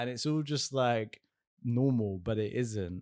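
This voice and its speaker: A man with a Southern English accent and a medium pitch. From southern England, Essex/London. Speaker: podcast co-host, healing coach. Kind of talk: casual podcast chat.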